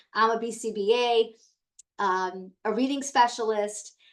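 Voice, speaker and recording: Pitched fairly high with ordinary pitch variation, a woman talks in a plain, everyday voice. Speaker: educator and founder of a tutoring center. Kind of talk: training webinar. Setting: video call.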